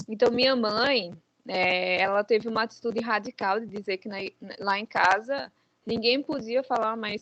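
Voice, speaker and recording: A woman with a plain, everyday voice speaks at a fairly high pitch with fairly even intonation. The sound is dry and close, with no echo. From Brazil (João Pessoa, Paraíba), born in Guinea-Bissau. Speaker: author. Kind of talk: interview.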